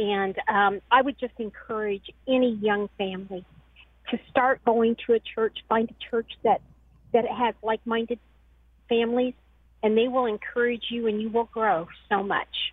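a plain, everyday voice from a woman with an American accent, fairly high in pitch, at a moderate pace with fairly even intonation. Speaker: caller. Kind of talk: phone-in call. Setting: phone call.

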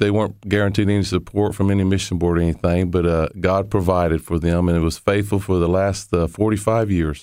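A man with a normal speaking voice and a fairly low pitch is captured on a very clean recording with a silent background. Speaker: missionary and interpreter. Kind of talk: interview.

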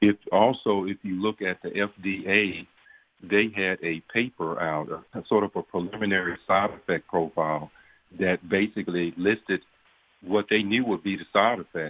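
Talking at a moderate pace, a man with a Southern US accent has a fairly low pitch. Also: fairly even intonation. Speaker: physician. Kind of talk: radio interview.

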